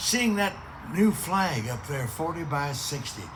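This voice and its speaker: With audible room echo, a man of fairly high pitch speaks at a moderate pace with lively intonation. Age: 90s. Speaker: veteran speaker at a memorial ceremony. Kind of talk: casual remarks to an audience. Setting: outdoors at a cemetery with microphone.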